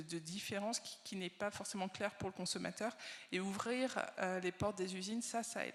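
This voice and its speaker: Fairly quick in pace, a woman talks at a medium pitch. Her intonation stays fairly even. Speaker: industry association research director. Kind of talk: conference keynote. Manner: hesitant, many fillers.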